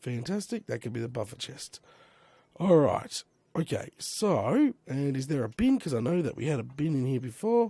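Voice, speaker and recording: Dry and close with no echo, the recording captures a man with an Australian accent, his fairly high, somewhat breathy voice dark and mellow in tone, moving at a moderate pace through very wide pitch swings. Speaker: Minecraft let's play creator. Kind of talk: casual gaming commentary.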